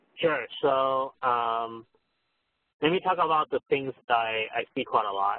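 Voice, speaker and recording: Fairly slow and with ordinary pitch variation, an unremarkable speaking voice delivers the words. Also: man, medium pitch for a man. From US West Coast, San Francisco Bay Area (born in Taiwan, moved at 10). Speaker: venture capitalist. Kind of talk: interview.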